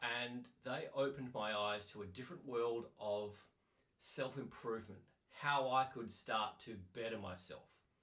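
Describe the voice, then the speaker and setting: A bright, sharp-toned voice moves at a fairly slow pace with fairly even intonation, and room echo can be heard. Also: man, medium pitch for a man. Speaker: life coach. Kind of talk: personal story talk.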